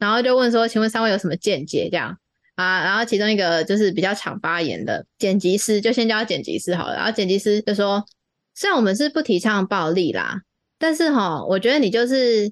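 A woman talks in a plain, everyday voice at a medium pitch and a fairly quick pace. Her intonation is lively, and the sound is dry and close with no echo. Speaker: podcast host. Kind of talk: casual chat.

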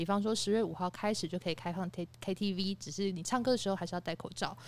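Very fast, a woman speaks at a medium pitch with ordinary pitch variation in a very clean recording with a silent background. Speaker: podcast panelist. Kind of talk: casual chat.

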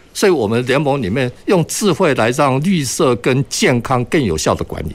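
Vocal fry marks this man's speech as his pitch swings very widely. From Taiwan, Kaohsiung. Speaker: architect, green energy industry association chairman. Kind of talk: radio panel discussion. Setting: radio studio, live broadcast.

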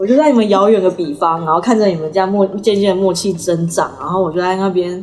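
With music in the background, a woman talks at a very fast pace with hardly any pauses, a medium pitch and ordinary pitch variation. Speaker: podcast co-host. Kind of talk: casual chat.

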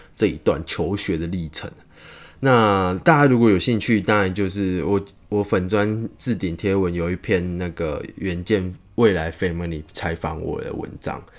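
A man speaks in a calm tone at a fairly slow pace. His pitch is very deep and low, with ordinary variation. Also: very clean recording, silent background. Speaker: podcast host, medical student. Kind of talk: casual podcast talk. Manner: calm, comfortable pace and pitch.

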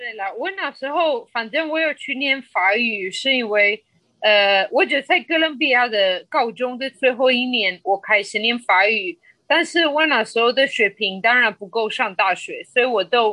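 Slow-ish at a fairly slow pace, a woman with a Spanish accent speaks in a high pitch. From Colombia. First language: Spanish (speaking Chinese). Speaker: podcast guest. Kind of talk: casual interview chat. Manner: halting, many filler sounds.

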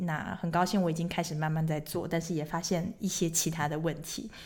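A woman speaks fairly quickly in an ordinary speaking voice. Her pitch sits fairly low. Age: 30s. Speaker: podcast host. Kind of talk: casual monologue.

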